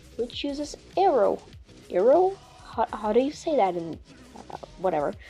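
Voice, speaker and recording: Over music in the background, a woman speaks at a moderate pace in a fairly high pitch with very wide pitch swings. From Portugal. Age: 20s. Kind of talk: storytime commentary narration.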